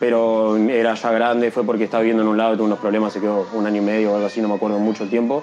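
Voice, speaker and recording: A fairly low-pitched man with a Uruguayan accent, very fast and nearly pause-free, flat and monotone, at very even loudness over noticeable background noise. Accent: Rioplatense Spanish (Uruguayan). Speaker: freestyle rapper. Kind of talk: casual interview.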